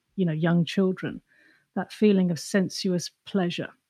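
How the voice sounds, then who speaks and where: On a very clean recording with a silent background and a dry, close sound with no echo, a woman with an English accent speaks at medium pitch and a moderate pace in a somewhat breathy voice with ordinary pitch variation. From England. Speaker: artist. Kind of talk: interview.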